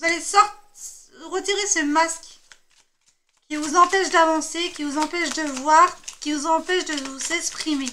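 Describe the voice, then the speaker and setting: Projecting a raised voice at an extremely high pitch, the woman speaks at a fairly slow pace with long, frequent pauses. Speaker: tarot card reader. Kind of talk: tarot reading. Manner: hesitant with fillers.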